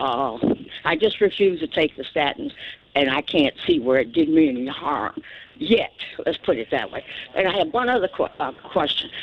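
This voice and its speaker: Moderate pace over noticeable background noise. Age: 80s+. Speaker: caller. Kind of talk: radio call-in question. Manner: halting.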